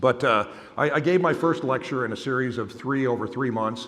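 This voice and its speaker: Over noticeable background noise, a man speaks at medium pitch with audible room echo. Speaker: innovation executive and keynote speaker. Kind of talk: keynote speech. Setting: conference stage with audience. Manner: loud. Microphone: microphone held far away.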